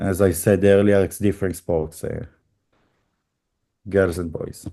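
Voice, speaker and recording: With a dark, mellow tone and fairly low pitch, a man speaks at a fairly slow pace with fairly even intonation and long, frequent pauses. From Israel. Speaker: youth basketball coach and video analyst. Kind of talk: interview. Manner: halting, many fillers.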